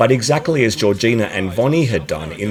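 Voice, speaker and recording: Very wide pitch swings at a moderate pace, with an Australian accent and noticeable background noise. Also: man. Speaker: pageant commentator. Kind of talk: scripted narration.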